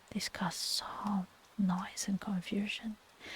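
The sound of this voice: The clip is in an unforced reading voice.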